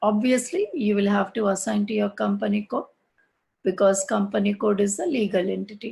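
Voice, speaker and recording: A somewhat breathy voice from a woman. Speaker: SAP course instructor. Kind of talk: online class tutorial. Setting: online class with screen sharing.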